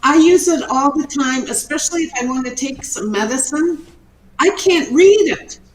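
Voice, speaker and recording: Noticeable background noise sits behind the voice. A woman speaks at a high pitch. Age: 70s. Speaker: retired entrepreneur and inventor. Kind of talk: interview.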